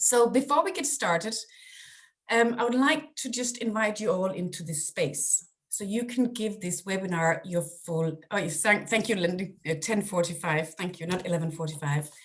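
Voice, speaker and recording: Somewhat breathy and medium in pitch, a woman with a Danish accent speaks at a moderate pace with lively intonation. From Denmark. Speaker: parenting coach. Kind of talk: webinar presentation; guided breathing exercise. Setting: video call.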